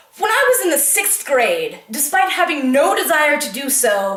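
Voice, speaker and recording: A woman's high-pitched voice at a moderate pace, against noticeable background noise. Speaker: slam poet. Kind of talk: slam poetry performance.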